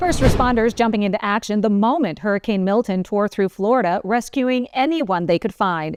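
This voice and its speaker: Amid noticeable background noise, a woman with a fairly high pitch and lively intonation speaks at a fairly quick pace with hardly any pauses, very even loudness and a dry, close sound with no echo. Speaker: news anchor. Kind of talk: news anchor delivery, top stories roundup.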